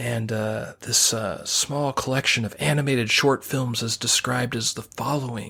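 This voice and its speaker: A put-on character voice, raspy and delivered at a fairly slow pace. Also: man. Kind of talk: announcer-like, formal.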